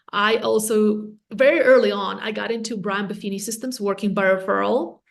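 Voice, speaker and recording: A woman talks in a fairly high register, and audible echo from the room hangs around her words. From Latvia. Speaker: real estate agent and team leader. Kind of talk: podcast interview.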